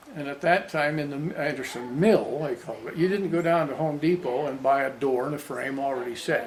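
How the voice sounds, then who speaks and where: A fairly high-pitched man with ordinary pitch variation, audible room echo and noticeable background noise. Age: 90s. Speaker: grandfather interviewee. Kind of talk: family interview reminiscing. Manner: halting, with restarts.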